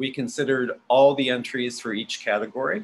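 A man's bright, sharp tone at a moderate pace. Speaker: university arts program director; event host announcing awards. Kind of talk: award announcement. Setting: video call. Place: home room. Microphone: video call.

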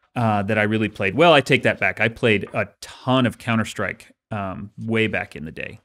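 In a quiet background, a man speaks at a moderate pace and medium pitch. It is a plain, everyday voice. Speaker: author and podcast co-host; podcast co-host. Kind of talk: casual chat. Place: studio. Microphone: studio mic.

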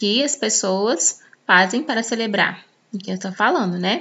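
A woman speaks at a fairly slow pace in an ordinary speaking voice. Her pitch is fairly high, with ordinary pitch variation. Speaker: English teacher. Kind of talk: tutorial. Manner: casual, conversational with many filler words.

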